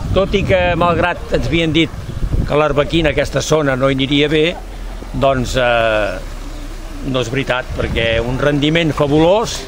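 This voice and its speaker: Over noticeable background noise and audible room echo, a man speaks at a fairly slow pace with long, frequent pauses. His pitch is fairly high, with ordinary variation. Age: 70s. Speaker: olive farmer. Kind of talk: interview.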